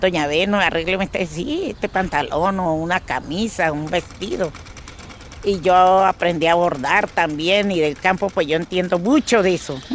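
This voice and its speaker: A woman at medium pitch and a fairly slow pace, with noticeable background noise. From Colombia, Caquetá. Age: 60s. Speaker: displaced farmer and seamstress. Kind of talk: personal testimony. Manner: halting.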